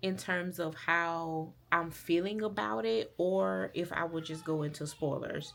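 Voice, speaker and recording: Very wide pitch swings fill this woman's speech, delivered in a Southern US accent. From US South, rural Alabama. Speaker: book vlogger. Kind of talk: casual vlog talk to camera. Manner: casual, with many fillers.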